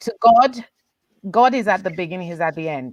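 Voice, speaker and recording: A woman with a plain, everyday voice talks at a moderate pace and medium pitch with lively intonation, in a dry, close sound with no echo. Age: 40s. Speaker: leadership panelist. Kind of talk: panel discussion. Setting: video call.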